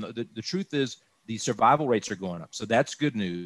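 This man has an ordinary speaking voice with an American accent, a medium pitch and ordinary pitch variation, talking at a fairly quick pace. The sound is dry and close, with no echo. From Texas, Austin. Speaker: insurance broker. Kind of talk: informational interview.

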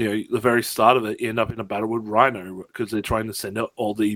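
Here is a man with an Australian accent and a fairly low pitch. His intonation is fairly even, and the sound is dry and close with no echo. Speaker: gaming podcast co-host. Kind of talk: casual chat.

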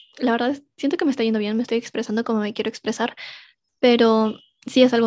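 Here a woman speaks at a fairly high pitch. Her background is quiet. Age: 20s. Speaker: podcast host. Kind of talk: personal reflection monologue.

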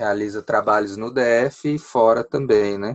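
Very slow, fairly low-pitched man's voice over a quiet background. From Brazil, Ceilândia (Federal District). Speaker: puppeteer and arts association president. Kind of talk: radio interview. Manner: hesitant with fillers.

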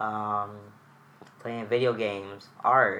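His voice is bright and sharp, a man at medium pitch speaking in a flat monotone. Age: 20s. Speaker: therapist and artist. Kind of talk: candid interview.

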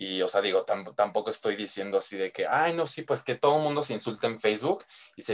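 Here a man is talking. His pace is very fast. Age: 20s. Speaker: student pilot. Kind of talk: casual chat.

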